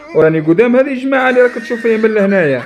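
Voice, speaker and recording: A man with an Algerian accent, very wide pitch swings, and noticeable background noise. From Algeria, Djelfa region. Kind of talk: satirical football rant to camera. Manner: heated, pleading.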